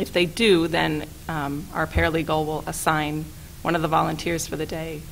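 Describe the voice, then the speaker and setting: A woman speaks at a moderate pace in a very deep, low pitch with ordinary pitch variation. Audible room echo and noticeable background noise surround her voice. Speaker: staff attorney and legal trainer. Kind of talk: training presentation.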